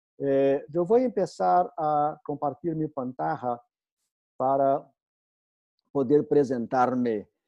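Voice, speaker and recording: A man with a Portuguese accent speaks very slowly in a fairly high pitch, with lively intonation and long, frequent pauses. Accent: Portuguese-accented Spanish (portuñol). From Brazil. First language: Portuguese (speaking Spanish). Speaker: architecture professor. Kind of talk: lecture. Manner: halting, many fillers.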